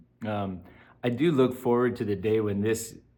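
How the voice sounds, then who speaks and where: Audible room echo surrounds a man's dark, mellow tone. His pitch varies in an ordinary way. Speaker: vlogger and substitute teacher. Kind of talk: casual vlog monologue. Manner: slow; halting, many filler words.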